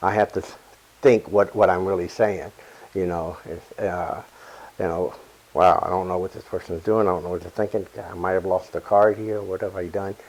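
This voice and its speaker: A man speaks at a moderate pace with a very deep, low pitch and monotone, flat intonation. His loudness swings widely. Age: 60s. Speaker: comedy magician. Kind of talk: casual chat. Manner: halting.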